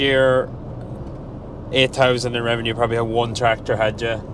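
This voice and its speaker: A man with a northwest Irish accent against noticeable background noise. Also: dry sound with no echo. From Ireland. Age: 20s. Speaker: sheep farmer. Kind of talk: casual interview questions. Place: car. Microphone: lapel.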